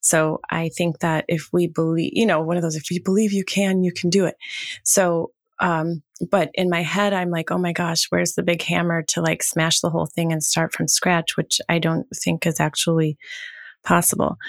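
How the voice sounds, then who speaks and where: The woman's voice is fairly low, with a monotone, flat intonation at a moderate pace. The recording is very clean and dry, close with no echo and a silent background. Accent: American. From Wisconsin. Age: 50s. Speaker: production team member. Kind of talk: casual roundtable discussion.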